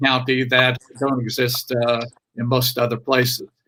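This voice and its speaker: A man with a Brooklyn accent, a bright, sharp tone, medium pitch, fairly even intonation and a fairly slow pace. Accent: Brooklyn, New York. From Brooklyn, New York. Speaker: political speaker addressing local economy. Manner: halting, frequent "uh" fillers.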